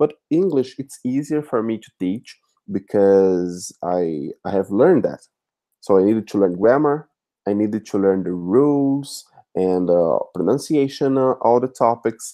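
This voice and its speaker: Against a quiet background, the speaker talks fairly slowly in a Brazilian accent, with lively intonation and a dark, mellow tone. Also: man, medium pitch for a man. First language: Portuguese. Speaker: language teacher. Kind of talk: live chat interview. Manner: halting, many fillers.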